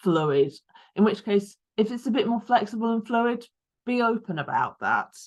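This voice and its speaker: At a moderate pace, a woman with a Lancashire accent speaks with ordinary pitch variation. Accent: northern English (Lancashire). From northern England, Lancashire. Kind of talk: online talk. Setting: video call.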